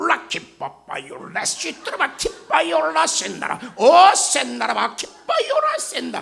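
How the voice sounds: A man puts on a character voice and delivers his lines at a fairly slow pace.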